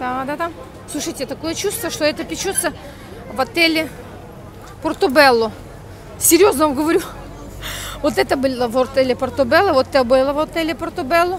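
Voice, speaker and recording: A woman speaks at a high pitch and a fairly quick pace, with ordinary pitch variation and long, frequent pauses. Crowd noise fills the background, though the sound is dry with no echo. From Ukraine. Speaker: vlogger. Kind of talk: vlog. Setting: outdoors, walking in street. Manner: chatty, animated. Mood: animated, humorous. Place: street. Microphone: earbuds.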